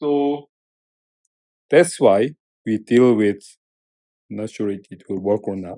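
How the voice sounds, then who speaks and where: Very slowly, with long, frequent pauses, a man speaks in a Korean accent. His voice is fairly low, with a dark, mellow tone. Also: lively intonation, big swings in loudness. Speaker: professor. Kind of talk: lecture. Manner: halting, with repetitions.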